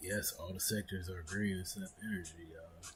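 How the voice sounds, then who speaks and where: Background music plays while a man's speech moves at a moderate pace. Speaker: stock market live streamer. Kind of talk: live market commentary. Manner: casual, conversational.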